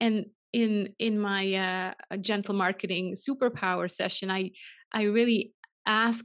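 A woman's medium-pitched voice at a very slow pace, with monotone, flat intonation over a quiet background. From Switzerland. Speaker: online business coach and author. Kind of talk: interview.

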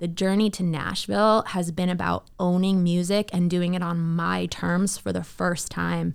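A woman speaks at a moderate pace with hardly any pauses. The recording is very clean, with a silent background. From Canada, Toronto. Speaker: country singer. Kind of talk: casual chat.

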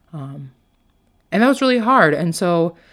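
On a very clean recording with a silent background, a woman talks with ordinary pitch variation. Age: 20s. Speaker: life coach and podcast host. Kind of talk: personal story monologue. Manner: casual with filler words.

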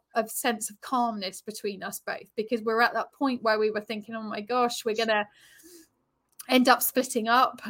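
Recorded very cleanly against a silent background, a woman with a southern English accent speaks at a high pitch in a bright, sharp tone. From Brighton, southern England. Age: 40s. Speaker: yoga instructor and relationship coach. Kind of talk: interview chat.

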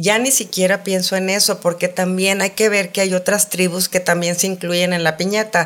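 A woman speaks at a medium pitch and moderate pace, in a monotone, flat intonation with very even loudness and hardly any pauses. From Saltillo, northern Mexico. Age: 50s. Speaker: sex columnist and educator. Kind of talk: casual interview chat. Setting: studio.

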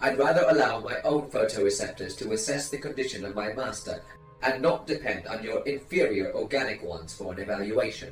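Someone uses a put-on character voice that sounds strained, at a fairly quick pace. Clear music plays in the background, and there is a slight echo. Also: man. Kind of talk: formal, robotic. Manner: cold, superior, precise.

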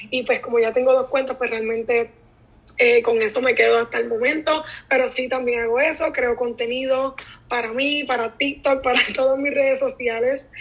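Speaking at a moderate pace in a Puerto Rican accent, a woman holds a high pitch with monotone, flat intonation. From Puerto Rico (Naranjito). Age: 20s. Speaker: teacher and content creator. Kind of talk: casual interview.

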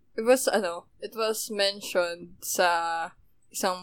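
A woman's voice with ordinary pitch variation, on a very clean recording against a silent background. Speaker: podcast co-host. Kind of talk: casual chat.

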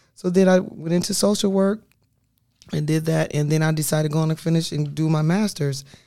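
A woman's very deep, low voice with a dark, mellow tone and an American accent, at a fairly quick pace on a very clean recording with a silent background. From US Midwest, Quad Cities (Illinois/Iowa). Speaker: police social worker. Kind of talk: casual interview.

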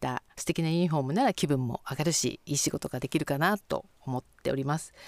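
A woman speaks at a fairly quick pace. The sound is dry and close, with no echo. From Sapporo, Hokkaido. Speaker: company president. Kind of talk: radio interview.

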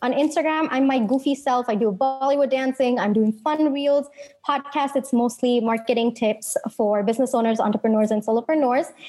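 Fairly quick, fairly even speech at very even loudness, with music in the background. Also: woman, high pitch for a woman. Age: 20s. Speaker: marketing strategist. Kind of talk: interview.

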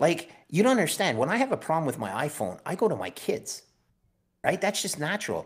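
In a very clean recording with a silent background, a man with a Canadian accent talks at a fairly quick pace, his high pitch making very wide swings. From Canada. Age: 50s. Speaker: bond trader and Bitcoin strategist. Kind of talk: casual interview.

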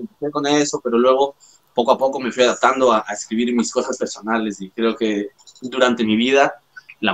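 A man with a Latin American accent speaks at a medium pitch. His pace is fairly quick and his intonation fairly even. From Ecuador and Spain. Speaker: rapper. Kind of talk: casual chat.

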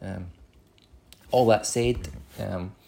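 Speaking in a Scottish accent at a fairly slow pace, the voice has a dark, mellow tone and is somewhat breathy. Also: man. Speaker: author. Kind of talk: recorded message.

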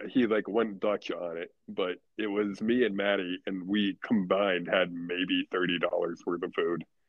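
A man's fairly low voice at a fairly slow pace. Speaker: podcast co-host. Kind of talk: casual chat.

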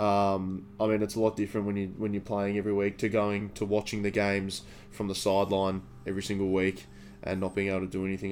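Over music in the background, a man with an Australian accent talks at a very fast pace in a fairly low pitch with monotone, flat intonation. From Victoria, Australia. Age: 20s. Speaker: fitness student and podcast co-host. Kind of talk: casual chat.

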